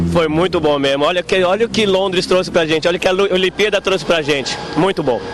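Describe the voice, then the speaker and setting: A man with a high pitch speaks at a very fast pace with hardly any pauses. His loudness is very even and his pitch variation ordinary, over noticeable background noise. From Brazil, Pará. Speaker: restaurant waiter. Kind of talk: street interview.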